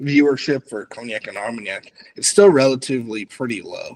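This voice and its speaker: A man speaks with an American accent at a medium pitch. He has a plain, everyday voice. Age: 20s. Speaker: cognac content creator. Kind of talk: casual chat.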